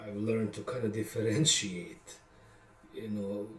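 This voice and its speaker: A man with a Bosnian accent talks at a fairly slow pace. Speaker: songwriter. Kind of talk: casual monologue. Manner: hesitant, many fillers.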